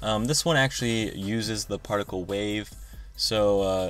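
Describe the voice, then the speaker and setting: Music plays in the background. A man speaks over it with fairly even intonation. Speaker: graphic design tutorial youtuber. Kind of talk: software tutorial. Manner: fast; casual with filler words.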